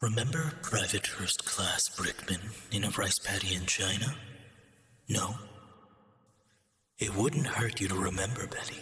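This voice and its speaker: Putting on a character voice, a man speaks calmly at a medium pitch and moderate pace, with long, frequent pauses. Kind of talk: video game villain monologue. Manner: cold, calm, hateful.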